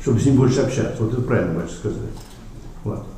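Noticeable background noise and audible room echo surround a man's voice. He speaks at medium pitch with ordinary pitch variation. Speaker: Orthodox priest. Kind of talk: panel discussion.

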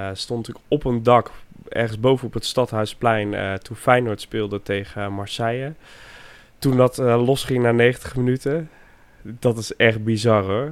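Speaking at a very slow pace, a man keeps his intonation fairly even. His voice sits at a medium pitch. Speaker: football podcast co-host. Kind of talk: casual chat. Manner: halting, repeats words.

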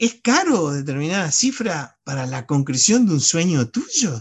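A man speaks at a fairly slow pace, somewhat breathy. His pitch swings very widely. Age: 60s. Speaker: novelist and war veteran. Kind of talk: casual interview chat. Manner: halting, many fillers.

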